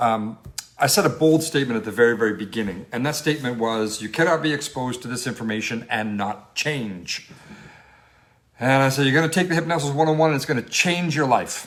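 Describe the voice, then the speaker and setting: A man of medium pitch talks at a fairly quick pace with ordinary pitch variation. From Canada, northern Alberta (rural). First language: French. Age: 40s. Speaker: stage hypnotist and hypnosis teacher. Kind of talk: casual live Q&A. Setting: livestream. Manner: casual, filler-heavy.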